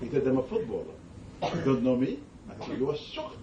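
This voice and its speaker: Speech moves at a fairly quick pace. Background noise is noticeable and the room echo is audible. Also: man. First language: not English. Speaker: Islamic scholar. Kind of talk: religious talk with Q&A. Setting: gathering with audience.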